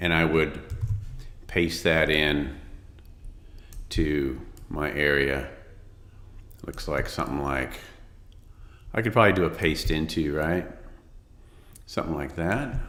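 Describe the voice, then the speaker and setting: A man speaks at a fairly slow pace with long, frequent pauses, and the room echo is audible. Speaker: design instructor. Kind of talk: tutorial. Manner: casual, many fillers.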